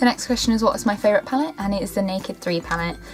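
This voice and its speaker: A woman with a London accent, music in the background. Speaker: beauty YouTuber. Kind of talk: casual talk to camera.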